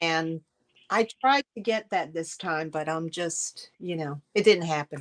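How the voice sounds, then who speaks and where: A woman with an unremarkable speaking voice talks at a fairly slow pace, her pitch fairly low with ordinary variation, in a dry, close sound with no echo. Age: 60s. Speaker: live sale host. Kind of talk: casual chat. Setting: livestream.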